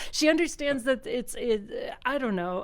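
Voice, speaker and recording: This is a woman speaking with an American accent. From US Northeast, Philadelphia area, Pennsylvania. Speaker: comedian and improv performer. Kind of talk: casual interview. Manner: hesitant, many fillers.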